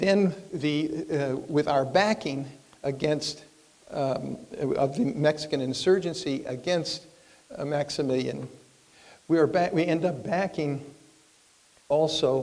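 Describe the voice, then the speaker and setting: Over noticeable background noise and audible room echo, a man talks at a very slow pace with long, frequent pauses, his fairly high pitch showing ordinary variation. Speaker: professor. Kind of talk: lecture. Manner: halting, many fillers.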